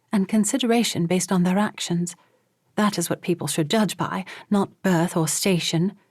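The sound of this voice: Quiet surrounds the speech. It is given in an unforced reading voice.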